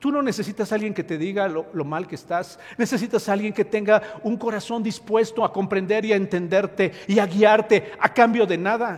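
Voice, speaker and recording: A man with a high voice speaks at a moderate pace, with hardly any pauses and fairly even intonation, over noticeable background noise. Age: 60s. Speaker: pastor. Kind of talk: sermon. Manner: halting.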